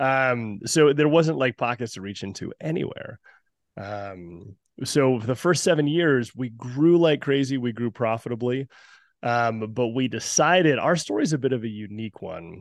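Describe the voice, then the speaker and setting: A man with an American accent has an ordinary speaking voice at a medium pitch. He talks at a moderate pace with lively intonation against a quiet background. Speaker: company founder and executive. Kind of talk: casual interview. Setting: video call.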